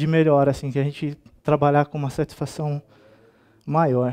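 Over a quiet background, a man talks at a moderate pace in a dark, mellow tone with fairly even intonation. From Brazil. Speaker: software developer; conference speaker. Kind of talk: conference talk. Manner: hesitant, many fillers. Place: hall.

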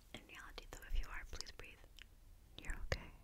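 Whispering, a woman speaks with a gentle tone. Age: 20s. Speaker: ASMR creator. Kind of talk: ASMR personal attention chit-chat. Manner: soft-spoken, gentle, reassuring. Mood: reassuring, lightly playful. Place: home room. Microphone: studio mic.

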